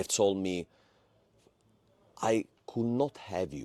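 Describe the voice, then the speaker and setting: A man with a Sicilian accent, fairly low in pitch, at a very slow pace, in a dry, close sound with no echo. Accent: Sicilian Italian accent in English. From Italy, Palermo. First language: Italian. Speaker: former satanist giving testimony. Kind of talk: testimony.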